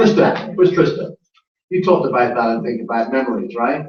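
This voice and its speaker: Fairly quick and lively in intonation, a man talks in a fairly high pitch. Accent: English. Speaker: network marketing speaker. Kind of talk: conference talk. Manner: animated.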